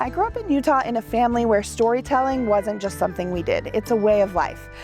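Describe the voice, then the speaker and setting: Very fast female speech over background music. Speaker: podcast host. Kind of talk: podcast interview.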